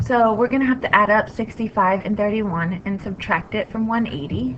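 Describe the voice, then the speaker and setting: A woman speaks at a fairly quick pace with lively intonation and a medium pitch, over noticeable background noise. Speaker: math teacher. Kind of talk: tutorial.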